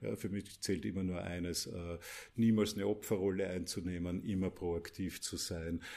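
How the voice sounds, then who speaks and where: Over a silent background in a very clean recording, a man with an Austrian accent talks at a moderate pace in a very deep, low voice with fairly even intonation. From Austria, Mödling, Lower Austria. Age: 50s. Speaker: business coach. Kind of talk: podcast interview.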